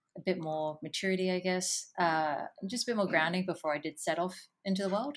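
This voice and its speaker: Fairly quick speech in an Australian accent, with fairly even intonation, on a very clean recording with a silent background. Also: woman. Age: 30s. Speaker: adventure photographer. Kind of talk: interview.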